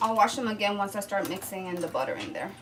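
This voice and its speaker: Over noticeable background noise and audible room echo, a woman with a fairly high pitch speaks in a relaxed tone. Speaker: home cooking vlogger. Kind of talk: casual baking vlog chat. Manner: chatty, relaxed.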